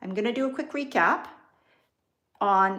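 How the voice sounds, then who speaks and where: Speaking with a slight Canadian accent, a woman swings her pitch very widely. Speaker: business and wealth coach. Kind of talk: live stream talk to viewers. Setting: livestream.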